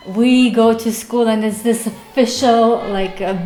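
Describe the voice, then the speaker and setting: Audible room echo and noticeable background noise surround a woman's voice. She talks at a fairly slow pace with monotone, flat intonation. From Uzbekistan. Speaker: vlogger. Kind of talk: casual vlog monologue.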